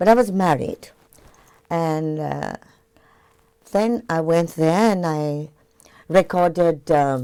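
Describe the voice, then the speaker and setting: Long, frequent pauses mark a woman's very slow speech, her fairly low pitch showing ordinary variation and her tone dark and mellow. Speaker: singer. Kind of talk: interview. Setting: TV studio.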